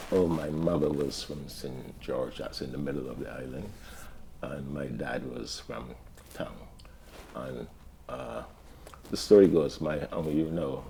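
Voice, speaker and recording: With long, frequent pauses, a man talks at a fairly slow pace, his loudness swinging widely while his pitch varies in an ordinary way. Room echo is audible. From Barbados. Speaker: community elder. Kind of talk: interview storytelling. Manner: halting.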